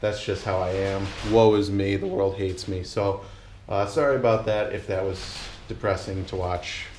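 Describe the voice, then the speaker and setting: Fairly low male speech, fairly even in intonation, with room echo audible. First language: not English. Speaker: YouTuber doing a truck engine swap. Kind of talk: casual vlog talk to camera. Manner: rambling, many filler words; gestures a lot while talking.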